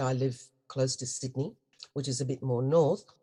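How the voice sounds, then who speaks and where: At a moderate pace, the speaker talks with an Australian accent. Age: 70s. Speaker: spiritual teacher, goddess priestess. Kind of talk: interview.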